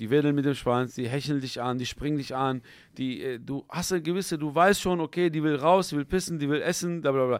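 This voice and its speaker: In a quiet, dry setting with no echo, a man with an unremarkable speaking voice talks at a fairly quick pace, his pitch fairly high with ordinary variation. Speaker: YouTube interview host. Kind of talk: casual interview chat. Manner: casual, filler-heavy speech. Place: studio. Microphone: studio mic.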